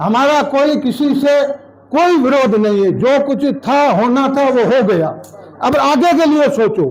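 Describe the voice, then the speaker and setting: Against noticeable background noise, a man speaks in an extremely high pitch with ordinary pitch variation and very even loudness. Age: 60s. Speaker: local politician. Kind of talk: public speech at party meeting. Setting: party office meeting. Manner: forceful.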